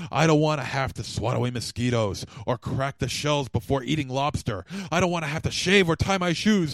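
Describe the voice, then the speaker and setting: A man speaks at a fairly quick pace in an unremarkable speaking voice. His pitch is fairly high. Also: lively intonation. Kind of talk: recording voiceover takes, repeated takes and a manic rant.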